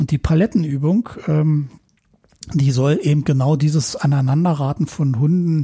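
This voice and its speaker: Somewhat breathy, with a dark, mellow tone, a man speaks at a fairly high pitch and a fairly slow pace with ordinary pitch variation. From West Berlin (Neukölln). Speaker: electronics technician and rescue dog handler. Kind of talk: casual interview.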